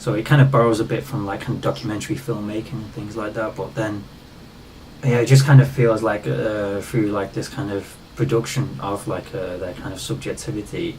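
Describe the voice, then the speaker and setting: Through noticeable background noise, a man with a fairly low pitch speaks at a fairly quick pace, his loudness swinging widely. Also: lively intonation. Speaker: digital artist and vlogger. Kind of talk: casual conversation about art.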